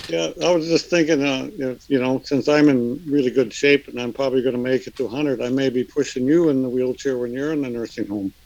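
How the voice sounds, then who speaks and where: This man speaks at a very fast pace. There are hardly any pauses. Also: medium pitch for a man, ordinary pitch variation. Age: 70s. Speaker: fishing sonar expert. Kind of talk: casual chat.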